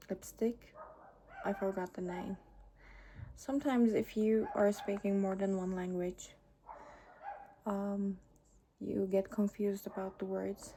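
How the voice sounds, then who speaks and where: Somewhat breathy, the voice moves at a fairly slow pace. Its intonation is monotone and flat, broken by long, frequent pauses. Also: woman, medium pitch for a woman. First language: not English. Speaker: beauty vlogger. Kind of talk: makeup tutorial. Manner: halting, with pauses.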